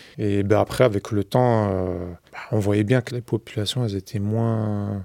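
A man with a dark, mellow tone speaks at a very slow pace on a very clean recording with a silent background. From Bobigny, Seine-Saint-Denis, France. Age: 40s. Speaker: local resident. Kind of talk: documentary testimony. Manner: casual, hesitant.

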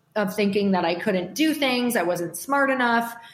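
Amid audible room echo, a woman with a fairly high pitch talks at a moderate pace. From US Midwest, Upper Michigan. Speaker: entrepreneur and podcast host. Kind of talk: casual interview.

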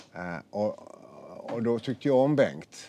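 A man speaks at a very slow pace. His dark, mellow tone shows ordinary pitch variation. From Gothenburg, Sweden. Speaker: retired firefighter and lecturer. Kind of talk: casual interview over lunch. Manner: halting.

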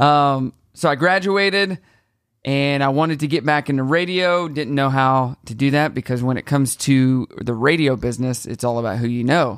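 With an American accent, a man of fairly high pitch speaks at a moderate pace and ordinary pitch variation in a very clean recording with a silent background. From US Midwest, southwest Missouri small town. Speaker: radio personality and event host. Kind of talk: casual chat. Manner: animated.

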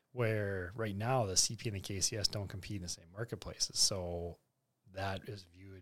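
With an Upper Midwest accent, a man talks at a fairly quick pace. The recording is very clean, its background silent. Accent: Upper Midwest American. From North Dakota. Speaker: grain company general manager. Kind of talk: podcast interview on grain markets.

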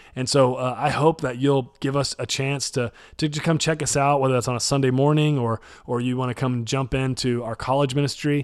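A man with an American accent, speaking fairly quickly in a monotone, flat delivery, on a very clean recording with a silent background. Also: medium pitch for a man. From Texas, North Dallas. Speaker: college pastor. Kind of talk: podcast interview.

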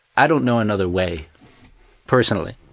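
A man with a North American accent, fairly low pitch and ordinary pitch variation. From New York, US. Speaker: venture company co-founder. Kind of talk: casual group interview. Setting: studio, remote link from London.

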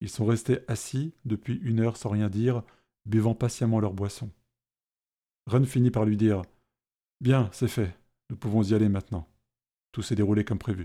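In a very clean recording with a silent background, a man with a dark, mellow tone and a dramatic tone speaks at a medium pitch and moderate pace, his intonation fairly even and his pauses long and frequent. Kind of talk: fantasy audio drama narration with character voices. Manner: measured, dramatic pacing, tense and hushed during the fight scene.

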